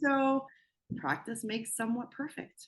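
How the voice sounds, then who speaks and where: Vocal fry marks a woman's moderate-paced speech in a slight Spanish accent. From Spain. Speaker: bodybuilder and broadcast journalist. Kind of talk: casual interview chat.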